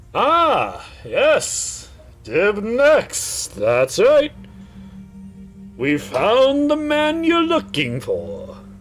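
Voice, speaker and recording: Over clearly audible background noise, a man puts on a character voice and speaks very slowly. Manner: very slow, drawn-out.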